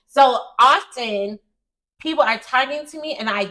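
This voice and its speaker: A woman's bright, sharp tone with an American accent, fairly slow pace and lively intonation. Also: big swings in loudness. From United States. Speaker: American expat parent. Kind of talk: casual interview chat.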